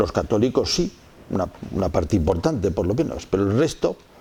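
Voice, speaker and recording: A man's fairly low-pitched voice moves along at a moderate pace. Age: 60s. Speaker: theology lecturer. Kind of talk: lecture.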